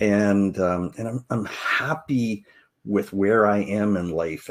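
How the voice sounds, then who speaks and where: A plain, everyday voice at a fairly slow pace with ordinary pitch variation, on a very clean recording over a silent background. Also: man. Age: 60s. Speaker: podcast host, financial advisor. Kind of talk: podcast intro, personal story. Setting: live video podcast.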